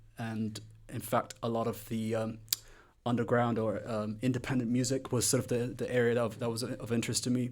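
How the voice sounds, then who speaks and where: At a moderate pace, a man speaks in a monotone, flat intonation at a medium pitch. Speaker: music blogger and record collector. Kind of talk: interview. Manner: halting, many fillers.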